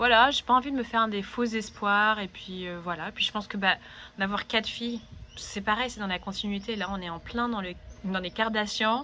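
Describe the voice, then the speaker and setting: Here a woman speaks with a bright, sharp tone at a fairly high pitch. Her pace is moderate and her intonation fairly even. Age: 30s. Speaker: vlogger. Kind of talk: personal vlog monologue. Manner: hesitant, many fillers.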